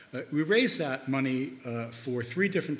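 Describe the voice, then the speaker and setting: A man with an American accent talks at a moderate pace, his pitch fairly high with ordinary variation. Audible room echo surrounds his voice. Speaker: investment bank founder, conference panelist. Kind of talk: conference presentation. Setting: conference panel. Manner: halting, with frequent fillers.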